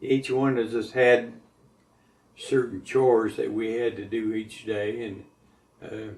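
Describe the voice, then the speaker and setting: With an American accent, a man speaks fairly slowly in a flat monotone at a medium pitch, his loudness swinging widely between long, frequent pauses. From Montana. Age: 70s. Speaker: war veteran. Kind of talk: oral history interview. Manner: halting.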